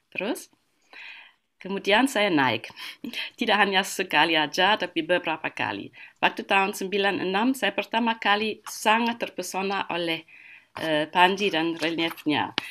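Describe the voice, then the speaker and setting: With a German accent, a woman speaks in a bright, sharp tone at a fairly slow pace, using ordinary pitch variation against a quiet background. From Germany. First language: German (speaking Indonesian). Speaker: art historian; guest. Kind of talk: online lecture. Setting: video call webinar. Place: home room.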